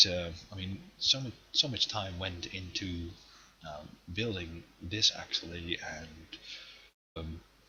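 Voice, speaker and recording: This man has a very deep, low voice. He speaks with a non-native accent. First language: not English. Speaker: gaming streamer. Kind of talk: live stream game tour. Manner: halting, many pauses.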